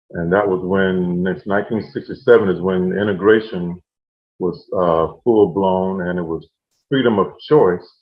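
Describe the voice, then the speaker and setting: A man with a very deep, low pitch speaks at a fairly slow pace, his pitch varying in an ordinary way. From Central Florida (Oviedo). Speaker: oral history interviewee. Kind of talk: oral history interview. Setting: video call.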